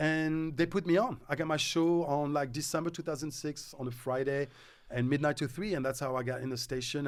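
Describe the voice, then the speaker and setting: A man speaks with a French accent and a fairly high pitch. His pace is fairly quick, and his pitch varies in an ordinary way. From Morocco and France. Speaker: radio DJ. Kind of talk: casual chat.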